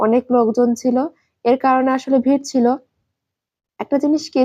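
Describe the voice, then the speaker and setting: A woman's high voice, dark and mellow in tone, monotone and flat in intonation, in a dry, close sound with no echo. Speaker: vlogger. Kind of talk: travel vlog narration.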